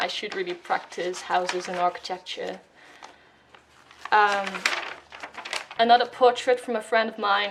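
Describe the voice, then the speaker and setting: A woman with a Dutch accent, medium pitch and ordinary pitch variation, over noticeable background noise. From Netherlands. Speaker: art YouTuber. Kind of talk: voiceover sketchbook tour. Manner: hesitant, many fillers.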